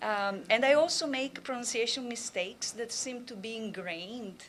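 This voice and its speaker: A woman speaks slowly-ish, at a fairly slow pace, in a strong Italian accent. Her pitch is fairly high, with ordinary variation. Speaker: language and literature professor. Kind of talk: conference talk. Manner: hesitant, many fillers.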